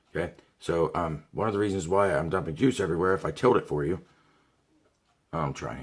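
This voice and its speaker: A man with an American accent and a very deep, low pitch, speaking at a very fast pace in an animated tone with ordinary pitch variation. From Ohio. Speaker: product reviewer. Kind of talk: product review video. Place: home room. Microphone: webcam.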